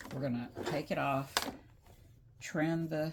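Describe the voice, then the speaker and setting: A woman speaks with a very deep, low pitch and lively intonation. Noticeable background noise is present. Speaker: craft tutorial maker. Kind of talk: tutorial. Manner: casual, hesitant with fillers. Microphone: mic far from speaker, voice not picked up well.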